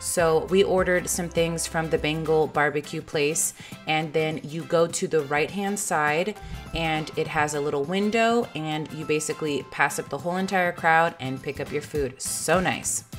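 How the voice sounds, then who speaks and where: A woman's very deep, low voice with ordinary pitch variation and an upbeat, excited tone at a moderate pace, over music in the background. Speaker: family lifestyle vlogger. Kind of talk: voice-over tips video.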